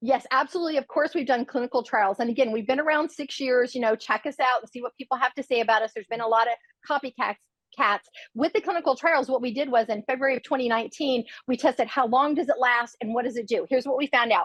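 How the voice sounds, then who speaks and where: A woman talks at a very fast pace in a high pitch, with an animated tone and ordinary pitch variation. The sound is dry and close, with no echo. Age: 60s. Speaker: product spokesperson. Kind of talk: sales pitch.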